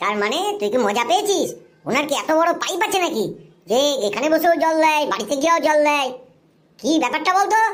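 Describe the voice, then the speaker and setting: A cartoonish character voice pitched high. It moves along at a fairly quick pace. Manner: gruff, impatient.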